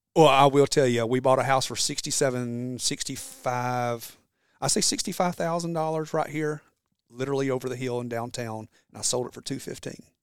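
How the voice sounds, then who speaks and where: A man talks at a fairly quick pace in a Southern US accent. His loudness swings widely. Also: medium pitch for a man, ordinary pitch variation. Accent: US South. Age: 40s. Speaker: entrepreneur and former firefighter. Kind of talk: casual interview. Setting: in person at his shop.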